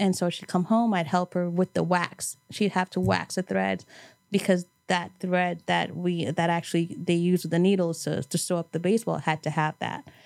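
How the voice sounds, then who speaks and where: A woman's plain, everyday voice in an American accent, fairly low in pitch, with fairly even intonation and a moderate pace, in a very clean recording with a silent background and a dry, close sound with no echo. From New York City, Brooklyn. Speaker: event planner, cancer survivor. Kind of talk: casual interview.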